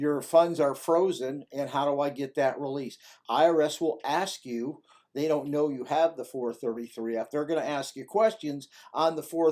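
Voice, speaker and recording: Dark and mellow in tone, a man speaks at a fairly high pitch and a moderate pace with ordinary pitch variation. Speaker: former tax agent and tax resolution consultant. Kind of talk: tutorial. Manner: halting, with repeats.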